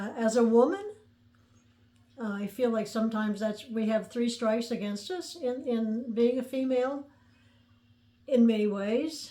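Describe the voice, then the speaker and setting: A woman speaks in a dark, mellow tone. Her speech has long, frequent pauses. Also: fairly high pitch for a woman, ordinary pitch variation, moderate pace. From US Midwest, central Illinois (near Mattoon). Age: 70s. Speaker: podcaster telling her life story. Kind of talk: personal storytelling monologue. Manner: conversational, with frequent hesitations and fillers.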